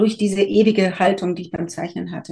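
A somewhat breathy voice with a dark, mellow tone. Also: woman. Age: 50s. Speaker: birth photographer. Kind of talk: interview.

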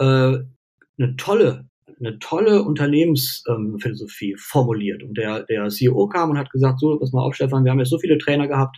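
Speaking at a moderate pace, a man uses a fairly high pitch and a dark, mellow tone. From Cologne, western Germany. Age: 40s. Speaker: mental health coach and university lecturer. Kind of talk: casual interview. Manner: hesitant, many fillers.

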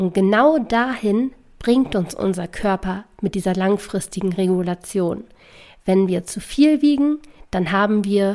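A woman's dark, mellow voice at a medium pitch comes through a very clean recording with a silent background. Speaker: podcast host on nutrition psychology. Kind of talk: solo educational podcast.

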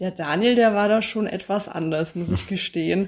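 On a very clean recording with a silent background, a woman's medium-pitched voice carries ordinary pitch variation. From Hesse, Bad Homburg near Frankfurt. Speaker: podcast guest, receptionist and student. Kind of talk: casual interview.

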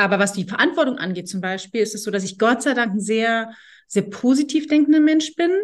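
In a quiet background, a woman with a somewhat breathy voice speaks at a fairly high pitch with lively intonation. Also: fairly quick pace. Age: 40s. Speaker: agency head interviewing former employee. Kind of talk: casual interview.

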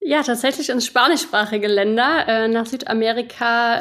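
A woman speaks at a high pitch and a moderate pace. Her pitch varies in an ordinary way. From western Germany, Rhineland (Erkelenz). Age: 30s. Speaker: podcast listener, marketing worker in food industry. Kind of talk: casual interview. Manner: halting, many fillers.

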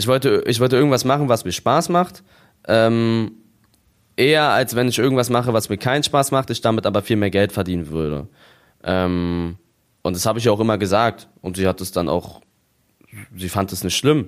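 Long, frequent pauses break up speech at a moderate pace with lively intonation, on a very clean recording with a silent background. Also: man, medium pitch for a man. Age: 20s. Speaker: YouTuber and streamer. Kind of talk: casual chat.

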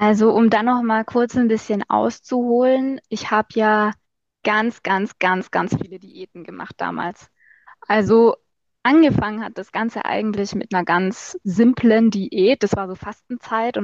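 The woman has a plain, everyday voice with a fairly high pitch and ordinary pitch variation, heard in a dry, close sound with no echo. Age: 20s. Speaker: marketing agency owner and social media creator. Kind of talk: casual interview.

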